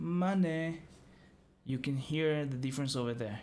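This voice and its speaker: With a non-native accent and a fairly high pitch, a man speaks amid audible room echo. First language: not English. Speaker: music producer. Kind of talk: tutorial. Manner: halting.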